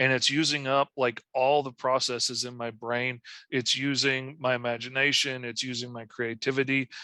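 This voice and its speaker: A man's medium-pitched voice with an American accent, bright and sharp, flat and monotone in intonation, at a moderate pace. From Arkansas. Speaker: comic book artist. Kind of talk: interview. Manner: vocal tics, yelps.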